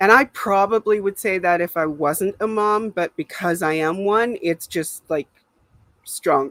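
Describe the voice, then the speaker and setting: An unremarkable speaking voice talks fairly slowly with ordinary pitch variation, in a dry, close sound with no echo. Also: woman, medium pitch for a woman. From Canada. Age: 60s. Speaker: livestream host. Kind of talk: casual livestream chat.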